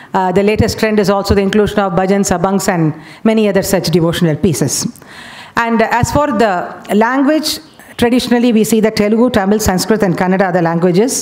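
A woman at a very fast pace with ordinary pitch variation. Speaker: conference presenter. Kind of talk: lecture. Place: hall. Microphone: podium.

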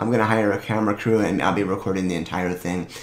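Audible room echo around a man with a very deep, low voice. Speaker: video creator reviewing products. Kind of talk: casual monologue review. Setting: home office. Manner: casual, chatty. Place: home room.

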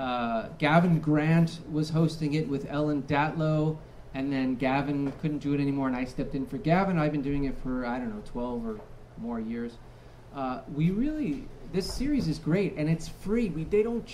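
At a moderate pace and with ordinary pitch variation, a man speaks over light background noise. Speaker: event host. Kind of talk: event introduction. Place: bar.

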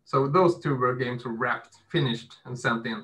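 A man's medium-pitched voice at a moderate pace, fairly bright in tone with a slightly husky edge.

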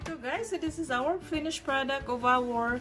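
A woman speaks at a fairly slow pace over clear music in the background. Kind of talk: tutorial. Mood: cheerful, excited. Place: kitchen. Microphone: phone near.

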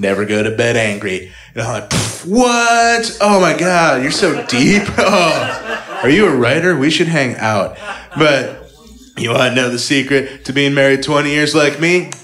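With music in the background, a man's fairly high voice rises and falls through very wide pitch swings. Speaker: stand-up comedian. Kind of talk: stand-up comedy. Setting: stage with audience. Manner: animated, sarcastic, rapid-fire punchlines; casual, conversational, with laughs and filler words.

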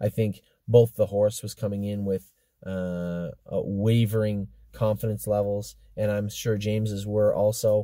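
Dry and free of echo, the recording has a quiet background. A man with a fairly low pitch talks at a fairly slow pace in a monotone, flat intonation. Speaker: horse trainer and owner. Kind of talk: casual barn update commentary. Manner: conversational, hesitant, with filler words. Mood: relaxed, upbeat. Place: car. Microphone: phone near.

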